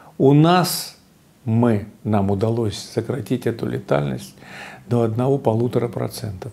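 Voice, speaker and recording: Somewhat breathy and dark, mellow in tone, a man speaks at medium pitch with ordinary pitch variation. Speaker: physician and institute director. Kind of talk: interview.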